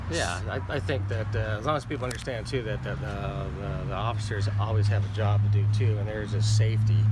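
Through loud background noise, a man with an American accent talks fairly quickly at a fairly low pitch, with ordinary pitch variation and hardly any pauses. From Pasadena, California; California. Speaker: police officer. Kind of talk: casual interview. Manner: halting, many repeated words. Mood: calm, reflective. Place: open country. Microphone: phone near.

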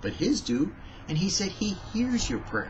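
Noticeable background noise behind a man talking at a moderate speed. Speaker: devotional vlogger. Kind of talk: devotional talk. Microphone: webcam.

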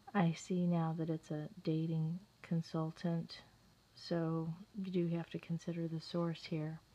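Soft-spoken and somewhat breathy, a woman speaks at a fairly slow pace in a fairly low pitch, her tone dark and mellow and her intonation monotone and flat. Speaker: video blogger. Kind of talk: reading aloud with commentary. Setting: at home.

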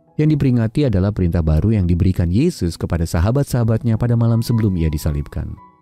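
A man talks at a very fast pace with lively intonation, the sound dry with no echo and music playing behind him. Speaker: devotional narrator. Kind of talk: devotional reading.

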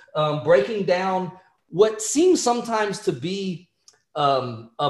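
Audible room echo over a quiet background. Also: man. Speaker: respiratory therapy educator. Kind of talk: lecture. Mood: upbeat, friendly. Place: home room. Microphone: webcam.

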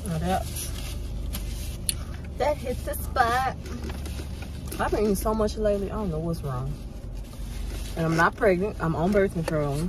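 Clear background noise sits behind the speech. The pace is fairly slow, with long, frequent pauses and ordinary pitch variation. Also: woman, medium pitch for a woman.

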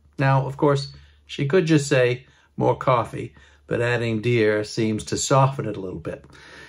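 A man with an American accent and a somewhat breathy voice speaks at a moderate pace with ordinary pitch variation against a quiet background. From Maine, USA. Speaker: regional dialect explainer. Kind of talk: casual educational talk to camera. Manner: relaxed, conversational. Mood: warm, wry humor. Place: open country. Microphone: phone near.

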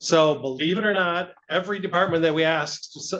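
This man's voice has a fairly high pitch. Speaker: city finance official. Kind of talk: budget presentation. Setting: council meeting. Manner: fast.

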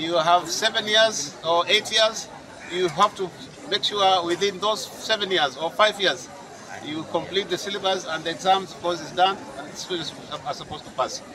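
A man speaks in a raised, projected voice at a moderate pace, with ordinary pitch variation. There are big swings in loudness and noticeable background noise. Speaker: local politician. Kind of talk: interview answer. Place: open country. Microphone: handheld.

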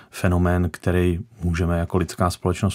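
Against a quiet background, the talking keeps a moderate pace. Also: man. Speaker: guest. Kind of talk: interview answer. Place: studio.

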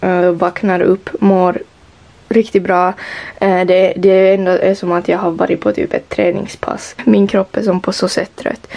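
A woman with a Finland-Swedish accent. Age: young. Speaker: vlogger. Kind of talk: vlog. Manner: animated. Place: home room.

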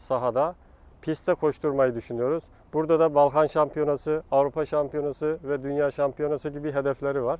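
In a dry, close sound with no echo, a man talks with a fairly high pitch and monotone, flat intonation. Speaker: national athletics team coach. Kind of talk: interview answer.

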